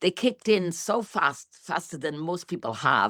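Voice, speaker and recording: On a very clean recording with a silent background, a woman's fairly low voice carries vocal fry and very wide pitch swings, the sound dry and close with no echo. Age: 60s. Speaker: interviewee sharing health results. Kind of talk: interview testimony.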